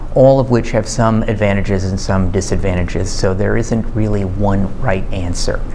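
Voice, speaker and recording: Over light background noise, a man keeps a moderate pace and ordinary pitch variation. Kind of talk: interview answer.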